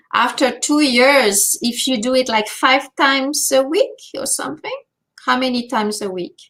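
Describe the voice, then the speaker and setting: A woman speaks at a high pitch in a bright, sharp tone. She goes at a fairly slow pace with ordinary pitch variation. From France. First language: French. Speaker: language teacher and speaking coach. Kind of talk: webinar Q&A. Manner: halting, many fillers.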